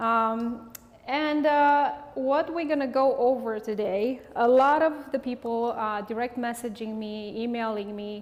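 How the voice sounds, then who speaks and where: In a Romanian accent, the speaker goes at a fairly slow pace with ordinary pitch variation. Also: woman, high pitch for a woman. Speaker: hairstylist and educator. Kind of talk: live hairstyling demonstration. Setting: studio.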